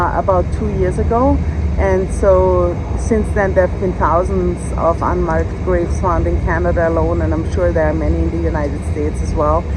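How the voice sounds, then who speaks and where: A woman with a very deep, low pitch speaks at a moderate pace amid noticeable background noise and audible room echo. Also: ordinary pitch variation. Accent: Austrian. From Austria. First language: German. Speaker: law professor. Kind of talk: casual chat.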